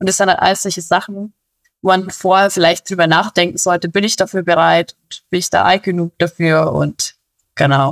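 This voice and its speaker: A woman speaks at a moderate pace in a fairly low pitch, her intonation monotone and flat. The sound is dry and close, with no echo. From Bavaria. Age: 20s. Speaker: police officer. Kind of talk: interview. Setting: recorded at home.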